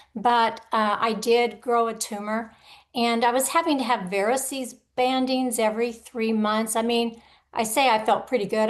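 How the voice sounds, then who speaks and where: A woman speaks with fairly even intonation. She has an ordinary speaking voice. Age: 60s. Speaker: liver transplant patient. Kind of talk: panel introduction.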